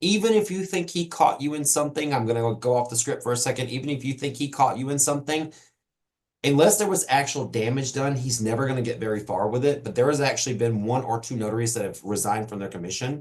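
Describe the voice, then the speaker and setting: Talking at a very fast pace, a man uses a medium pitch and lively intonation. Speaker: notary trainer. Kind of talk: live webinar Q&A session. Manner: off the cuff, conversational.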